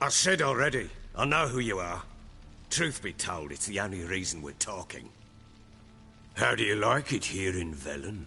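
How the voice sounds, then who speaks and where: Putting on a raspy character voice, a man with fairly low pitch swings very widely in pitch at a moderate pace, leaving long, frequent pauses over clear background noise. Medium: video game. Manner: gruff, blunt.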